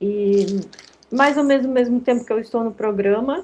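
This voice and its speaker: A woman speaks at a moderate pace. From Rio Grande do Sul, Brazil. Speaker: lecturer on digital education for seniors. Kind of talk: online workshop lecture. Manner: informal, many fillers.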